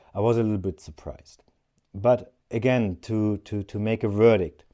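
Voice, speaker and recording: A man speaks in a fairly low pitch with a dark, mellow tone. His intonation stays fairly even. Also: moderate pace. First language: not English (third language). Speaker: outdoor gear reviewer. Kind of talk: product review. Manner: hesitant, with filler words.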